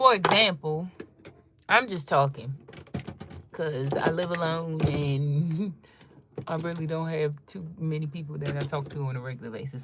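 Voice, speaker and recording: Noticeable background noise sits behind a woman speaking in a very deep, low pitch at a moderate pace. Her pitch varies in an ordinary way, with big swings in loudness and long, frequent pauses. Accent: DC area. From Washington DC metropolitan area. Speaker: content creator, fashion and beauty livestreamer. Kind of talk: casual livestream chat. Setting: live stream at home.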